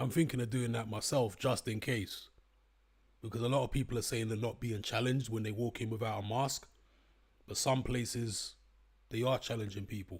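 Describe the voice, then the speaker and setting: A somewhat breathy man's voice at medium pitch, fairly quick and fairly even, with long, frequent pauses. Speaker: YouTuber live-streamer. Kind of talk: casual live stream chat. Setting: live stream. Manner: off the cuff.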